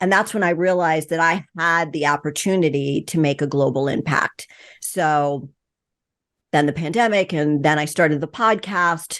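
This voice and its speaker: A woman with an ordinary speaking voice, a moderate pace and ordinary pitch variation. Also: fairly low pitch for a woman. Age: 60s. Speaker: retired fitness coach and podcaster. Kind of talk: interview conversation.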